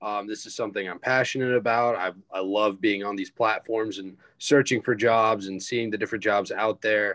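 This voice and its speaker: A man with an American accent, a plain, everyday voice, fairly low pitch, fairly even intonation, big swings in loudness and a moderate pace. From South Carolina, Greenville. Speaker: student peer career educator. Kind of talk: casual chat.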